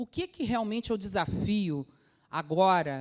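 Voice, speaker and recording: At a moderate pace, a woman talks in an ordinary speaking voice with lively intonation. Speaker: food safety quality manager. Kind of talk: conference talk.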